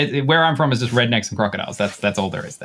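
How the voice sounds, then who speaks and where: A man with an Australian accent speaks at a medium pitch. His tone is bright and sharp, and his intonation is lively. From northern tropical rural Australia. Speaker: effects pedal designer. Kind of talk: casual chat. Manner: hesitant, many fillers.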